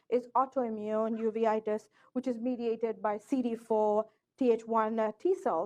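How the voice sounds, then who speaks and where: Over a quiet background, a woman speaks at a fairly high pitch. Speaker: ophthalmologist giving a lecture. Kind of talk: lecture. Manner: fast.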